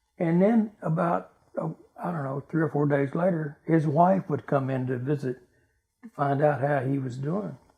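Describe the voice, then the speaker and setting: With a Texan accent, a man speaks at a fairly high pitch and a moderate pace, his intonation lively. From Texas (Dallas). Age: 80s+. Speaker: military veteran. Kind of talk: oral history interview. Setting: at home.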